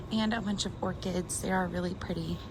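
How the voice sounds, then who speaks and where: A woman talks fairly quickly with audible room echo and noticeable background noise around her. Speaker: plant vlogger. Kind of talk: casual vlog narration while shopping. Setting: inside a hardware store. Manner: animated, excited exclamations.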